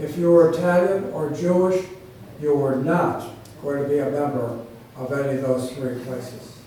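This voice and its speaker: At a moderate pace, a man with a Western New York accent speaks at a fairly high pitch with ordinary pitch variation over noticeable background noise. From Batavia, New York. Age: 80s+. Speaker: author and former development agency head. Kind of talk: public talk.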